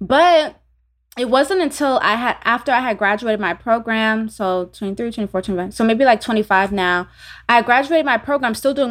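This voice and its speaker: Lively intonation from a woman with an American accent, fairly high in pitch and fairly quick, an unremarkable speaking voice on a very clean recording with a silent background. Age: 30s. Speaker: entrepreneur and spiritual teacher. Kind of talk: interview.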